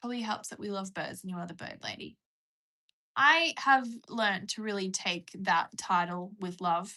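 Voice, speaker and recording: At a moderate pace and medium pitch, a woman with a bright, sharp tone speaks with ordinary pitch variation and big swings in loudness. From Australia. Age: 20s. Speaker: livestreamer with a pet bird. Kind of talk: casual live stream chat.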